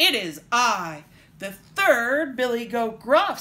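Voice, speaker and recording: A loud, put-on character voice, female-sounding and high-pitched, at a very slow pace with very wide pitch swings. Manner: bold, loud.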